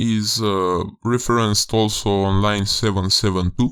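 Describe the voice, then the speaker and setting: In a Romanian accent, a man speaks with a bright, sharp tone at a fairly low pitch. The recording is very clean with a silent background. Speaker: game developer. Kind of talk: tutorial. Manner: halting, many fillers.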